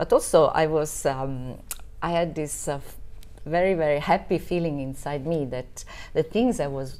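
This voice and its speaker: With an Italian accent, a woman speaks at a very deep, low pitch. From southern Italy (Basilicata). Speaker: marketing professional. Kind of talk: casual interview chat. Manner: halting, with many fillers. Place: home room.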